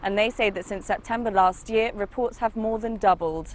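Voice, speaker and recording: A woman talks with an ordinary speaking voice at medium pitch. Her intonation is fairly even. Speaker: TV and radio reporter. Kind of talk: news report to camera.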